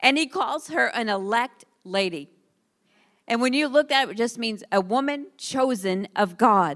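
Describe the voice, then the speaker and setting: A woman's fairly high, plain, everyday voice with lively intonation at a fairly slow pace, on a very clean recording over a silent background. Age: 40s. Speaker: pastor. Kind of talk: sermon.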